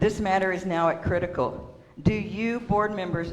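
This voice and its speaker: A woman's fairly low voice at a moderate pace, with ordinary pitch variation and noticeable background noise. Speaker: public commenter at a water district meeting. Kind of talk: public comment speech. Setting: public meeting.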